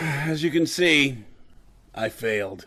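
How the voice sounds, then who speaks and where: Putting on a raspy character voice, a man talks with lively intonation at a fairly high pitch. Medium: old radio play. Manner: hesitant, halting speech.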